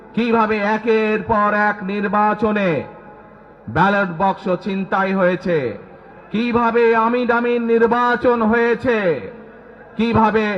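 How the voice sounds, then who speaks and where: A man speaks at a high pitch with flat, monotone intonation and very even loudness. Noticeable background noise runs underneath. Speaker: politician. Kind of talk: political rally speech. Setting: outdoors.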